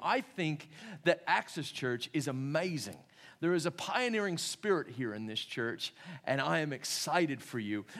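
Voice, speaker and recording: His pitch fairly high, a man talks with lively intonation at a moderate pace. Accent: American. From California and North Carolina, US. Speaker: pastor. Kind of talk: sermon. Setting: church.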